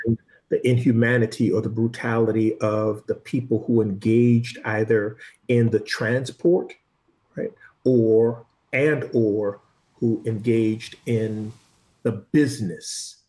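A man speaks at a very slow pace with long, frequent pauses and big swings in loudness. His medium-pitched voice is somewhat breathy, with a dark, mellow tone. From US, Boston. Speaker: lead diver, former fire investigator. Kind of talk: interview.

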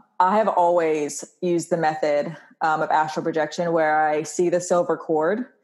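A normal speaking voice in an American accent, with fairly even intonation at a moderate pace. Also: woman. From North Carolina, Wilmington. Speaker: witch and spiritual teacher. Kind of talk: casual chat.

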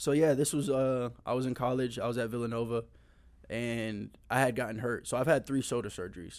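Here is a man with an unremarkable speaking voice, at a medium pitch. His pace is fairly quick and his intonation fairly even. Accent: American. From Tampa, Florida. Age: 20s. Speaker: former football player and youth camp organizer. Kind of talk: testimony; casual chat.

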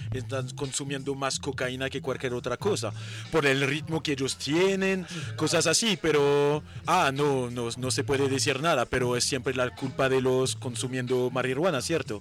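Over music in the background, a man with a French accent talks at a moderate pace and a fairly high pitch. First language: French (speaking Spanish). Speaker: cannabis brand representative. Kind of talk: casual chat. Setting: at a festival event.

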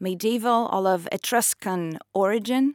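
With an Italian accent, a woman at a medium pitch speaks at a fairly slow pace with ordinary pitch variation, her voice dry and close with no echo on a very clean recording with a silent background. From northeast Italy, near Trieste. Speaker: author. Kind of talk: interview.

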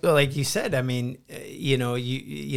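A man with an unremarkable speaking voice talks at a moderate pace in a medium pitch. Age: 40s. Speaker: podcast host and stand-up comedian. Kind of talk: casual chat.

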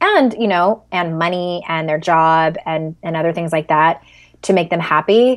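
In a very clean recording with a silent background, a woman with an American accent speaks at a moderate pace and a fairly low pitch. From San Diego, California. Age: 40s. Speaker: life coach and author. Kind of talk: casual interview.

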